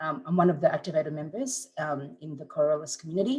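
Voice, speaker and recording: A woman speaks at a very fast pace in a somewhat breathy voice. Her pitch variation is ordinary. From Philippines. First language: Visayan. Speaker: entrepreneur. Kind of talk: personal testimony talk.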